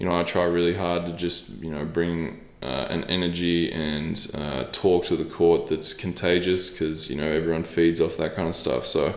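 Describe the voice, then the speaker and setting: A man with an Australian accent, very deep and low in pitch, in a monotone, flat intonation at a moderate pace with hardly any pauses, audible room echo around him. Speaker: professional basketball player. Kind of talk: interview.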